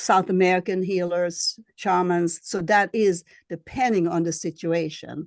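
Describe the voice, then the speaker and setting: Speaking with a slight Swedish accent, a woman talks at a fairly low pitch and a fairly slow pace. The sound is dry and close with no echo, and the background is quiet. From Sweden. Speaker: astrologer and shamanic healer. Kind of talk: interview. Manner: halting.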